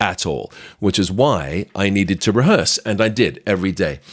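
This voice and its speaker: A man talks at a moderate pace. He has a British accent. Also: very clean recording, silent background. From Britain. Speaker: magician and actor. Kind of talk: podcast storytelling.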